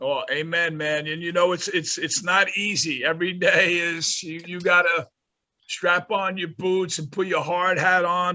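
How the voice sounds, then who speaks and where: With a New York accent, a man talks at a moderate pace. His pitch is high. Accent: New York metro. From New Jersey, North Bergen. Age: 60s. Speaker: college basketball coach. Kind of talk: interview.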